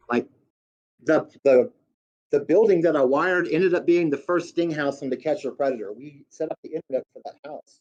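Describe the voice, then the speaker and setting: A man with a Southern US accent, ordinary pitch variation and big swings in loudness. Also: fairly high pitch for a man, fairly quick pace, dry, close sound with no echo. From US Deep South. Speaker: guest. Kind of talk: casual chat.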